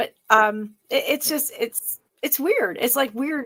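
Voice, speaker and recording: A woman's animated, fairly slow delivery with lively intonation and vocal fry. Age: 50s. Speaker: podcast co-host. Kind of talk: casual chat.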